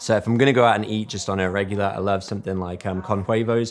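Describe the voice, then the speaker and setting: Speaking at a fairly quick pace with an English accent, a man keeps his fairly low voice monotone and flat. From England. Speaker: real estate agent. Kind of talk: interview. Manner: calm.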